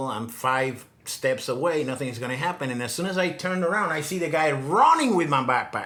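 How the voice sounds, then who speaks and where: A man's fairly high voice, with ordinary pitch variation, moves at a moderate pace over noticeable background noise. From Puerto Rico. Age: 60s. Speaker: digital nomad, former engineer. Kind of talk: casual interview storytelling. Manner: halting, many repetitions.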